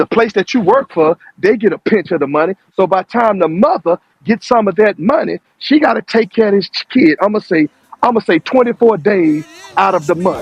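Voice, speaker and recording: This man talks at a fairly quick pace in a high voice with lively intonation, very even loudness, and a dry, close sound with no echo. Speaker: panelist in online discussion. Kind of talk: heated debate. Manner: fast; animated.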